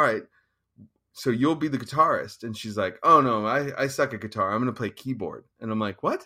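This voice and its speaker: On a very clean recording with a silent background, a man with an American accent speaks at medium pitch and a fairly quick pace, his tone bright and sharp and his pitch varying in an ordinary way. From Northern California, Sonoma County and East Bay. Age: 40s. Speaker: punk bassist and record label manager. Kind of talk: casual chat. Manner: slight word-finding hesitations after stroke.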